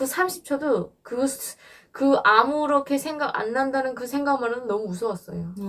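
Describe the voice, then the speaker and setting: High-pitched female speech at a moderate speed, its pitch varying normally. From North Korea. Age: 20s. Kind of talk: interview answer.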